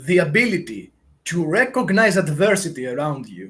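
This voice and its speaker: This man's voice is pitched high. He has a non-native accent. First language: not English. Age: 30s. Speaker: YouTuber giving life advice. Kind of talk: live Q&A monologue. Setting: livestream. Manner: halting, many filler words.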